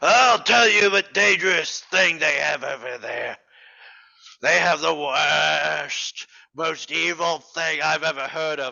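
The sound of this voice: A man puts on a character voice, raspy and fairly high in pitch. He speaks at a fairly slow pace.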